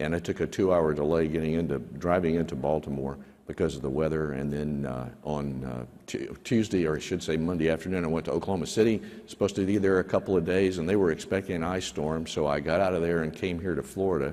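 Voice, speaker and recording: A man speaks at a very fast pace. His pitch is very deep and low, with ordinary variation. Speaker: government aviation official. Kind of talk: town hall opening remarks. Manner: hesitant, many fillers.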